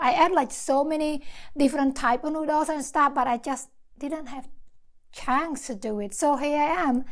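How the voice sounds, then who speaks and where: A woman's animated tone with ordinary pitch variation. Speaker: mukbang youtuber. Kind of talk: casual eating show vlog.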